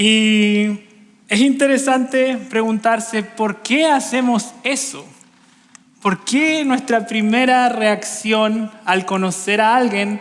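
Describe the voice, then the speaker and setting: A man with a Chilean accent speaks at an extremely high pitch and a very slow pace over noticeable background noise. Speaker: preacher. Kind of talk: sermon. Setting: church.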